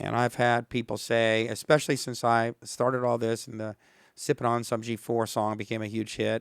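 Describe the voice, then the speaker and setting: A man with a medium pitch speaks at a fairly quick pace. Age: 60s. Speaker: singer-songwriter. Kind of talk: casual chat. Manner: halting, many fillers; animated.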